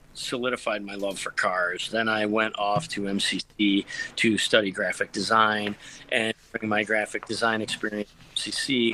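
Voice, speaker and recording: A bright, sharp tone in a Western New York accent at a moderate pace. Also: man. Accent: Western New York (Inland North) American. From Rochester, New York. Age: 50s. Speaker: car detailer, small business owner. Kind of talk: casual interview chat.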